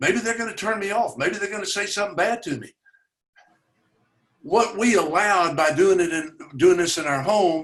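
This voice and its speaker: Fairly quick, lively-sounding delivery from a man with a Tennessee accent. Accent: Southern US (Tennessee). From US South, Chattanooga, Tennessee. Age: 80s+. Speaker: community organizer, racial equality advocate. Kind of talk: conversational webinar talk. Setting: webinar.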